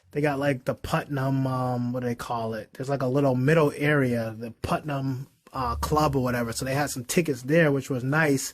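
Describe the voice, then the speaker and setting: With hardly any pauses, a man in a Boston accent talks at a moderate pace and medium pitch with fairly even intonation, on a very clean recording with a silent background. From Boston, Massachusetts. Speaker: investor and accountant. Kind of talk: casual chat.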